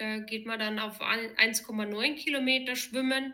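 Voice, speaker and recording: Her tone comes across bright and sharp. This woman's voice sits at a fairly high pitch. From Bavaria, Germany (Erding). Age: 30s. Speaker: amateur triathlete. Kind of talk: interview.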